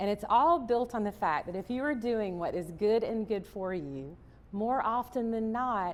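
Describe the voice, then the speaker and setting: Lively intonation marks this moderate-paced speech in a Southern US accent. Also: woman. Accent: Southern American. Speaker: chef, cookbook author and motivational speaker. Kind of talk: motivational keynote speech. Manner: upbeat, animated, storytelling.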